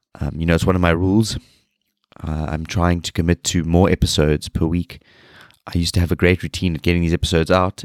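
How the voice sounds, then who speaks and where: A very deep, low-pitched man's voice in a South African accent, monotone and flat, at a very fast pace, with a dry, close sound, no echo, and a very clean recording with a silent background. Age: 30s. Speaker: fitness podcast host, personal trainer. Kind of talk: solo podcast monologue.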